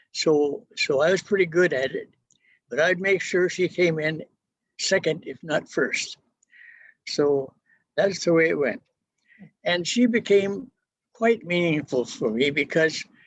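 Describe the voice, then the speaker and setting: Lively intonation from a man at a high pitch, fairly slow pace and long, frequent pauses. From US Pacific Northwest (Everett, Washington), born in Wisconsin. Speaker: retired pastor. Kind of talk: life story talk. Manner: halting.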